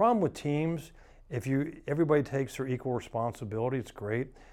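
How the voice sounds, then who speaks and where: Against a quiet background, a man has a plain, everyday voice, speaking at a moderate pace with ordinary pitch variation. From US South, Atlanta. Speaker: realtor. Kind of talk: casual interview.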